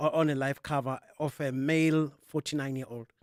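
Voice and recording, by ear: A man's fairly high voice at a moderate pace, clear and smooth in tone, in a very clean recording with a silent background and a dry, close sound with no echo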